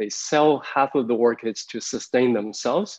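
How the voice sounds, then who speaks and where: A man speaks over a quiet background. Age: middle-aged. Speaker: artist and university professor, keynote speaker; university professor, keynote speaker. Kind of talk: keynote lecture. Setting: video call. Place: home room. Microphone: video call.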